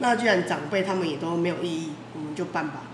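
A woman talks at a very fast pace in a medium pitch with ordinary pitch variation. Audible room echo and noticeable background noise surround her. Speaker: noodle shop owner. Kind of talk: casual chat.

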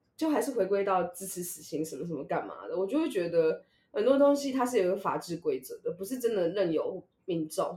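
Speaking at a fairly quick pace, a woman with a medium pitch and a dark, mellow tone makes very wide pitch swings. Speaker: podcast co-host. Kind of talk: casual chat.

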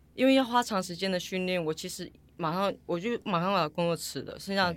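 In a very clean recording with a silent background, a woman with a fairly low pitch talks at a fairly quick pace with lively intonation. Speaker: retired triathlete. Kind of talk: interview. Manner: animated.

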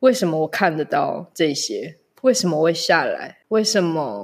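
With ordinary pitch variation and a moderate pace, an unremarkable speaking voice is heard. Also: woman. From Malaysia. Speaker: spiritual guide. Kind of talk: casual interview chat. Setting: remote recording.

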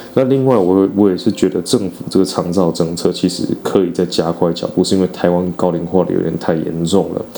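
Over noticeable background noise, a man talks at a fairly quick pace in a very deep, low pitch with fairly even intonation. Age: 30s. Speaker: podcast host. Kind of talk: casual monologue. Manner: halting.

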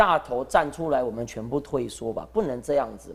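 A man talking at a fairly quick pace. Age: 30s. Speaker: council candidate, recall campaign spokesman. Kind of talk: live-streamed panel discussion. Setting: live broadcast venue with studio audience. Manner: animated. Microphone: too quiet.

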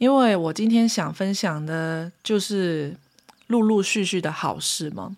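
Very slow speech from a woman at medium pitch with ordinary pitch variation. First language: Cantonese (speaking Chinese). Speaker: podcast host, spiritual practitioner. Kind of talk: casual solo monologue.

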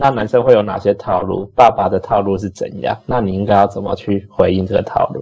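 A man talks at a fairly quick pace with hardly any pauses, fairly low pitch, fairly even intonation and an ordinary speaking voice. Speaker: podcast co-host, restaurant industry worker. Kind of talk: casual chat.

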